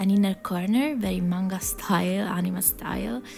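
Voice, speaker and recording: With music in the background, a woman speaks in a non-native accent. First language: not English. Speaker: digital artist. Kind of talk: casual talk while drawing. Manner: hesitant, many fillers.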